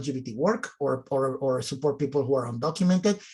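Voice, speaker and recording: A somewhat breathy man's voice at a very fast pace, with lively intonation. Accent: Mexican. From Mexico City, Mexico. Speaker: nonprofit executive director. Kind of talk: panel discussion.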